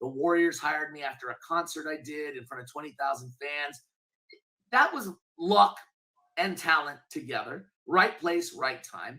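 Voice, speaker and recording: Speaking at a moderate pace, a man with a fairly high pitch and ordinary pitch variation sounds energetic and confident, with big swings in loudness. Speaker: benefit auctioneer. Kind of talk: interview answer. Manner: energetic, confident.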